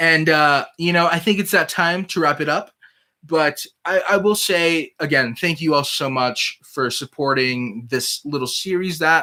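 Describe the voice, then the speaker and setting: Bright and sharp in tone, a man talks at a moderate pace with ordinary pitch variation. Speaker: cooking channel co-host. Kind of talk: livestream chat. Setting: livestream. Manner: halting, filler-heavy.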